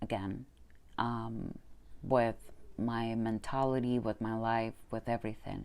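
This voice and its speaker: This woman has a dark, mellow tone and a Spanish accent. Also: very clean recording, silent background. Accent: Spanish accent, noticeable. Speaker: manifestation coach. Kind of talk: personal testimony vlog. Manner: hesitant, many fillers.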